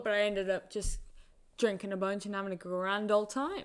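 A woman with a northern English accent, medium pitch, fairly even intonation and a fairly quick pace. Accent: northern English, moderate. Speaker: college soccer player. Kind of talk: casual chat.

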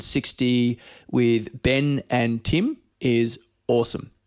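Recorded very cleanly against a silent background, this voice speaks with an Australian accent. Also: man. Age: 40s. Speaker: podcast host. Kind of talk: scripted intro; casual interview chat.

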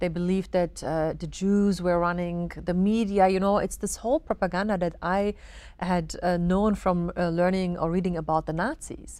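A woman with an Arabic accent talks at a moderate pace and a fairly low pitch in monotone, flat intonation, on a very clean recording with a silent background. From Germany. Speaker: journalist. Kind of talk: interview. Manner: halting.

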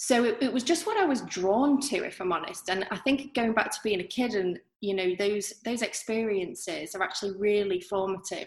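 With lively intonation and a medium pitch, a woman talks at a fairly quick pace amid noticeable background noise. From northern England, Manchester. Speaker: artist. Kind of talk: interview.

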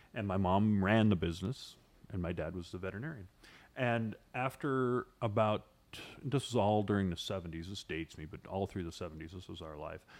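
A man's fairly low voice with an American accent, a plain, everyday voice, at a fairly quick pace with ordinary pitch variation. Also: big swings in loudness. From Idaho and northern California (Chico). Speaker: entertainment columnist. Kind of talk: casual interview.

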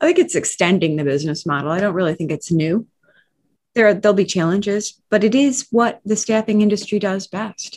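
With a plain, everyday voice, a woman speaks at a fairly quick pace and a medium pitch, using lively intonation. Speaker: podcast co-host. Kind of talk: casual interview.

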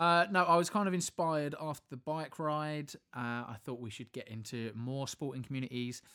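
Bright, sharp tone from a man with a British accent, fairly high pitch, dry, close sound with no echo, very clean recording with a silent background. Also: hardly any pauses. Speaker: podcast co-host. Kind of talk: casual banter.

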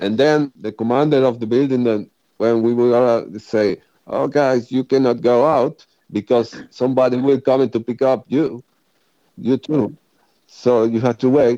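In a dry, close sound with no echo, a man with a strong non-native accent speaks at a fairly slow pace and medium pitch, his tone dark and mellow and his intonation fairly even. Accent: strong foreign. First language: Spanish. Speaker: former volunteer sniper in Syria. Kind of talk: casual chat. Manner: halting.

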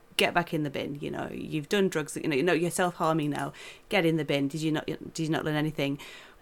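A woman with a British accent speaks very fast at a very deep, low pitch, flat and monotone with vocal fry, on a very clean recording with a silent background. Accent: British English, common. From England. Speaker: film journalist. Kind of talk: casual chat.

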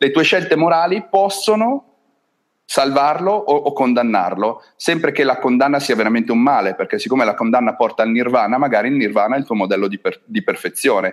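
Very wide pitch swings fill a man's fairly high voice as he talks at a fairly quick pace. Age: 40s. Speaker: game designer. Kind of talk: interview.

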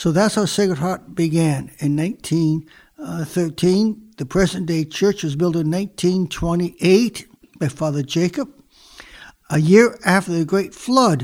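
A high-pitched male voice at a fairly slow pace, with ordinary pitch variation. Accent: American. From US Midwest, Michigan. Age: 80s+. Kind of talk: casual conversation. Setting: dining room.

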